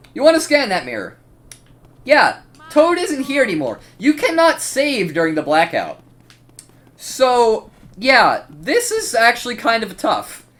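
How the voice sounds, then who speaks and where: This man's voice sits extremely high for a man and swings very widely in pitch, broken by long, frequent pauses over noticeable background noise. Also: fairly slow pace. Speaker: gaming youtuber. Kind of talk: gameplay commentary. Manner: casual, filler-heavy.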